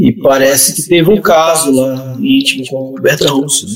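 The pace is moderate. The intonation is lively. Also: man. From Brazil, southern Pará (Amazon region). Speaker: writer. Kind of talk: casual chat. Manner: halting, repeats words.

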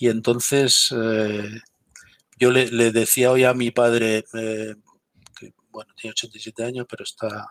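Speaking at a very slow pace in a flat monotone, this voice jumps sharply in loudness, with a dry, close sound and no echo. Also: man, medium pitch for a man. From Galicia, Spain. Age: 50s. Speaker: military intelligence veteran and security consultant. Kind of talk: interview.

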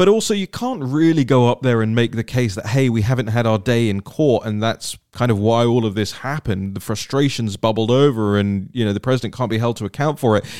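A man with a British accent talks at a fairly quick pace in a medium-pitched voice with ordinary pitch variation. The sound is dry and close, with no echo. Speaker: podcast host. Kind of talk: solo political commentary. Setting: home studio with mixer board and microphone. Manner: animated.

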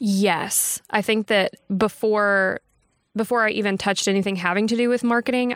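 In a very clean recording with a silent background, a woman with a Texan accent speaks at a moderate pace and medium pitch, her intonation fairly even. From Texas, Texarkana. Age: 20s. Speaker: bank marketing professional. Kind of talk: casual chat. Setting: recorded livestream.

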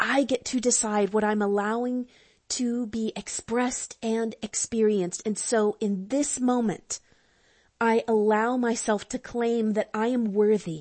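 A woman's fairly high, warm voice, fairly slow in pace with fairly even intonation. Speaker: spiritual counselor and astrologer. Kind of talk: guided prayer journey, affirmative prayer; fervent prayer, spoken as a heartfelt invocation and thanks to the divine. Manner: fervent, devout, rising with feeling; warm, slow, intimate and sincere, with emphatic repetition.

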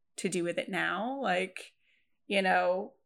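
A woman with a Lancashire accent speaks in a medium pitch. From northern England, Preston. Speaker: author and video editor. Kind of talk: casual chat.

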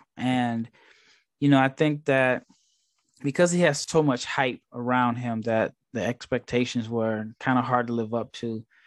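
Here is a man with an American accent and an unremarkable speaking voice, medium in pitch, with fairly even intonation at a fairly slow pace. The recording is very clean with a silent background and a dry, close sound with no echo. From US Midwest, Nebraska. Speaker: basketball draft scout. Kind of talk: casual interview chat.

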